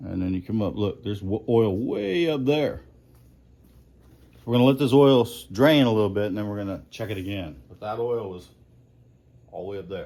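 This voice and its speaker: A man's fairly low voice in a dark, mellow tone, with ordinary pitch variation, a fairly quick pace, long, frequent pauses, big swings in loudness and audible room echo. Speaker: mechanic. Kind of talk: tutorial. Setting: garage. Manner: casual.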